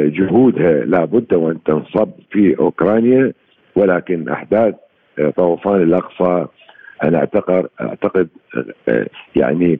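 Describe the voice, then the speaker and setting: Speaking at a very slow pace with long, frequent pauses, a man with a very deep, low pitch keeps his loudness very even and his pitch variation ordinary. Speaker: political science professor. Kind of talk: radio interview. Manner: halting, many pauses.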